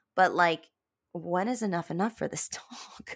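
Woman's animated voice with vocal fry, ordinary pitch variation and a moderate pace, on a very clean recording with a silent background. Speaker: podcast host and theatre vlogger. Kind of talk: casual solo podcast monologue. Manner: animated, halting with many fillers.

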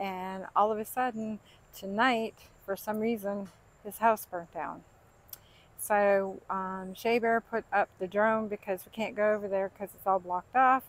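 The sound is dry with no echo as a woman speaks at a fairly slow pace in a flat monotone. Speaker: vlogger. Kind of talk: casual vlog chat. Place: garden. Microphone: phone near.

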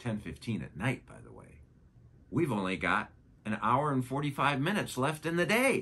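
With vocal fry and a bright, sharp tone, a man speaks at a moderate pace. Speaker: science educator. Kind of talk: educational narration. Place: studio.

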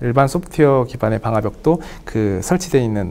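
A man is talking at a fairly quick pace. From South Korea. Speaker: IT vendor engineer. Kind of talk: webinar interview. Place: studio. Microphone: lapel.

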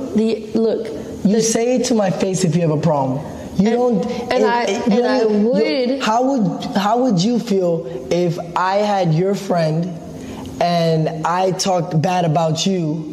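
A woman speaks at a fairly slow pace with very even loudness, with audible room echo and light background noise. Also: ordinary pitch variation. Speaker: streamer. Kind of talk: heated personal argument on a live stream. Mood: upset, confrontational. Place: home room. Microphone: camera far.

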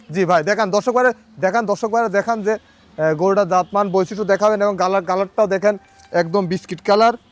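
Against noticeable background noise, a man speaks at a high pitch with fairly even intonation and very even loudness. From Bangladesh, Pabna district (Ishwardi). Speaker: cattle farmer and dealer. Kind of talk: sales pitch.

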